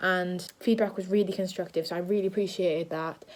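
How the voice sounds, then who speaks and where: She speaks in a British accent at a medium pitch. Her intonation is monotone and flat. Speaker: drama student and vlogger. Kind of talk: casual vlog. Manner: loud.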